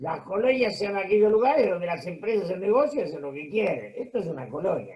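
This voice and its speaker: In a Rioplatense accent, a man speaks at a high pitch with very wide pitch swings. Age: 70s. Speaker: political commentator. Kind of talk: interview.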